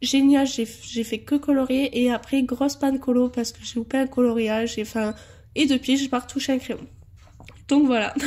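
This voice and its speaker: With a high pitch and a dark, mellow tone, a woman speaks at a moderate pace in monotone, flat intonation, her loudness swinging widely. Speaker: colouring hobbyist. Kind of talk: casual talk to camera.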